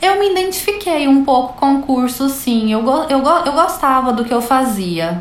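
A woman with a high pitch and very wide pitch swings talks at a moderate pace with hardly any pauses, over noticeable background noise and audible room echo. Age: 30s. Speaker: manicure and podcast host. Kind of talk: casual interview chat.

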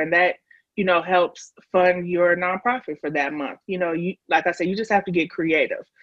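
In an American accent, a plain, everyday voice speaks at a moderate pace. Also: woman. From Chicago. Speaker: grant writer and fundraising consultant. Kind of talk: casual interview.

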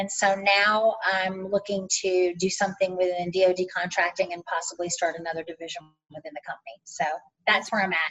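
An ordinary speaking voice from a woman with an American accent, medium in pitch, at a fairly quick pace. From North Carolina, US South. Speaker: army veteran and business owner. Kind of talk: interview.

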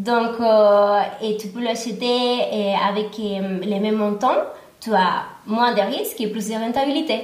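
Someone speaks in a Spanish accent at a very slow pace with fairly even intonation and audible room echo. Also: woman, fairly high pitch for a woman. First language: Spanish (speaking French). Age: 30s. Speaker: real estate agent and investor. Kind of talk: interview testimony.

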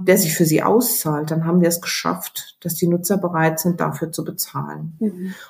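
A woman talks in a plain, everyday voice with ordinary pitch variation. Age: 50s. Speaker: newspaper editor. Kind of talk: interview.

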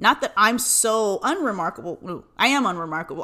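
A woman speaks with an American accent at a medium pitch and moderate pace. Her tone is bright and sharp, and her intonation is lively. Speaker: podcast host. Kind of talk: casual solo monologue.

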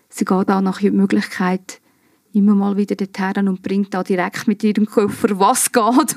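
A woman speaks in an unremarkable speaking voice at medium pitch and a moderate pace. The sound is dry and close, with no echo. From Switzerland, Obwalden (Giswil). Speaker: improv actress. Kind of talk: casual chat.

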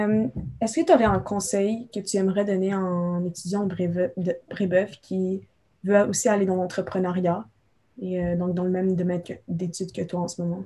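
A woman's medium-pitched, somewhat breathy voice with a dark, mellow tone, fairly even intonation and a moderate pace. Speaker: student podcast host. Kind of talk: interview.

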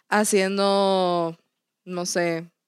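With a Mexican accent and fairly even intonation, a woman speaks at a medium pitch in a very clean recording with a silent background, the sound dry and close with no echo. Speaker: podcast co-host. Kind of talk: casual chat.

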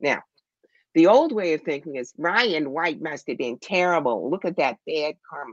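In an ordinary speaking voice, the speaker talks at a fairly slow pace with lively intonation over a quiet background. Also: woman. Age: 60s. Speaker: psychic medium and tarot reader. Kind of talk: casual interview on live stream. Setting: video call.

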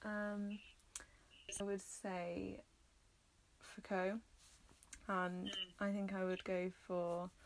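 A woman in a North Welsh accent, medium in pitch and monotone in intonation, at a very slow pace with long, frequent pauses and very even loudness. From North Wales. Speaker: human geography graduate. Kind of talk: casual chat. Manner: hesitant, many fillers.

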